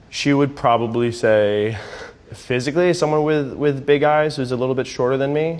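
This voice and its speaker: A man with a fairly high pitch, moderate pace and ordinary pitch variation, amid noticeable background noise and audible room echo. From US Northeast (Connecticut). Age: 30s. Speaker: actor and server on a blind date. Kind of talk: interview monologue.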